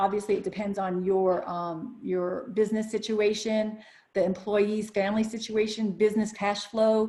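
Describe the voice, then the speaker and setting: A woman's fairly high voice, dark and mellow in tone, in a flat monotone. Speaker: business lawyer presenting a webinar. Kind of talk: webinar presentation. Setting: online webinar broadcast. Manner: fast.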